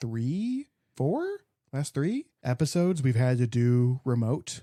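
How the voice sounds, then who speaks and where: A man talks at a very slow pace with a dark, mellow tone and ordinary pitch variation. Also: medium pitch for a man. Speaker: podcast co-host, plant enthusiast. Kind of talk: casual chat. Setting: in-person studio recording.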